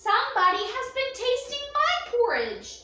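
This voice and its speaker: A woman puts on a squeaky character voice at an extremely high pitch. A slight echo sits on the recording. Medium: read story.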